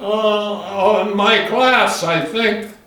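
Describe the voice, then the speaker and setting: Against noticeable background noise, a man with an American accent talks at a high pitch. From South Dakota, USA. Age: 80s+. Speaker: retired farmer. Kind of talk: oral history interview answer.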